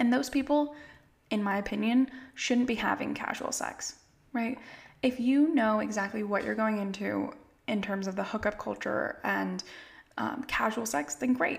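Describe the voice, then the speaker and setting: Somewhat breathy, a woman with an American accent speaks in a fairly high pitch. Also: ordinary pitch variation, moderate pace. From California. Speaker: family therapist. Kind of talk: casual interview chat. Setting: video call.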